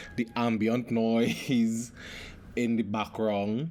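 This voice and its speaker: A man's voice at medium pitch. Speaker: podcast host. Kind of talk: casual monologue podcast. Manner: halting, many fillers.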